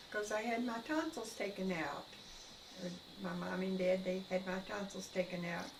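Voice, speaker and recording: A woman with an American accent at a medium pitch and moderate pace, amid noticeable background noise and audible room echo. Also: ordinary pitch variation. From US South, North Carolina. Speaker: elderly mother interviewed. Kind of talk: family interview.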